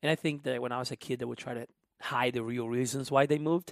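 Fairly even intonation in a very clean recording with a silent background and a dry, close sound with no echo. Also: man. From Honduras. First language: Spanish. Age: 20s. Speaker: musician and immigration advocate. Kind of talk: casual interview conversation.

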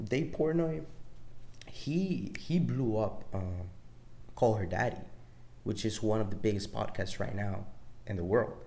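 With a Salvadoran accent, a man with a fairly low pitch speaks in a somewhat breathy voice at a fairly slow pace, using lively intonation and long, frequent pauses. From El Salvador. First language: Spanish. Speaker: podcast host. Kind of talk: solo casual monologue. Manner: casual, rambling with frequent swearing.

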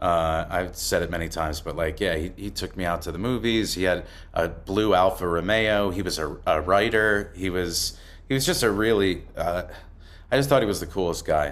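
An American accent marks this man's fairly low voice, which shows ordinary pitch variation. Audible room echo surrounds him. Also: moderate pace. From northern New Jersey, Bergen County. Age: 40s. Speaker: actor. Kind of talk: casual interview chat.

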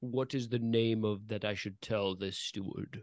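A man puts on a growling character voice at a medium pitch, with monotone, flat intonation. He speaks at a moderate pace against a quiet background.

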